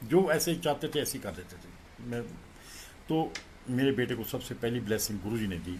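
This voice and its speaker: Lively intonation and vocal fry run through this voice, delivered at a moderate pace. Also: man. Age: 60s. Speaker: devotee and childhood friend of a guru. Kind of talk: spiritual testimony at a satsang.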